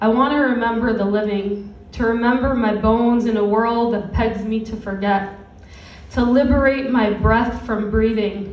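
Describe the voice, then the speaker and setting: A woman's fairly high voice at a moderate pace, monotone and flat, over noticeable background noise. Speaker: spoken word poet. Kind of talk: spoken word poetry performance. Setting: live venue.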